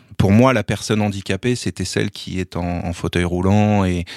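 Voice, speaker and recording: The recording is very clean, with a silent background. A man with a very deep, low pitch speaks at a moderate pace with fairly even intonation. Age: 40s. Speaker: sports journalist and rugby commentator. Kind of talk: interview testimony. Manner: halting, frequent repetitions.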